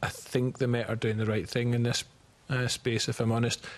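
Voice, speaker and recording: A man in a Scottish accent at a fairly quick pace. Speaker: committee witness on policing. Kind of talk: committee hearing testimony.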